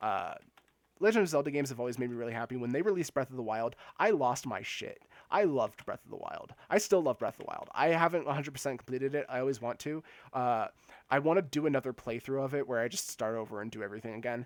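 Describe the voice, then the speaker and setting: Talking at a very fast pace, a man with a medium pitch uses lively intonation. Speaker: video game streamer. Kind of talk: casual live stream chat. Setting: live stream.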